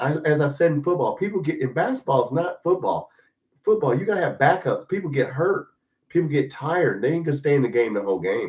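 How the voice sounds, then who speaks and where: A man with an American accent talks very fast at a fairly high pitch, his intonation lively and marked by vocal fry. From western Kentucky. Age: 50s. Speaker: sports podcast host. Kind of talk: casual live-stream sports talk. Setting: live stream. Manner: animated; casual, blunt.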